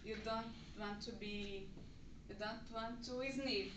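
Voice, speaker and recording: In a room with audible echo and noticeable background noise, a woman speaks very slowly at a fairly high pitch with fairly even intonation. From Brazil. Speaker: English language student. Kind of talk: class presentation, movie review. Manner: halting.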